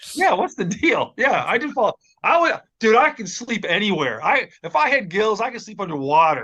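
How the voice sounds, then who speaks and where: A man with an American accent projects a raised, high-pitched voice with a bright, sharp tone and very wide pitch swings at a moderate pace. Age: 60s. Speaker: podcast co-host. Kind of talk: casual chat.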